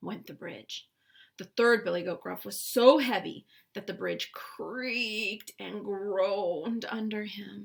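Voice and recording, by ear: The passage is read out loud in a natural voice.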